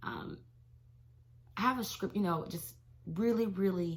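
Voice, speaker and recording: A woman with a somewhat breathy, animated tone talks at a moderate pace with ordinary pitch variation. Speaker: teacher and devotional vlogger. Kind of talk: casual devotional vlog.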